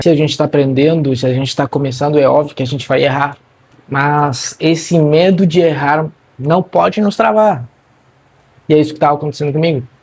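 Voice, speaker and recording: A man talks fairly quickly in a somewhat breathy voice, fairly high in pitch, with ordinary pitch variation. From Argentina. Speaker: marketing content creator. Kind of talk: personal vlog monologue. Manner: casual, conversational.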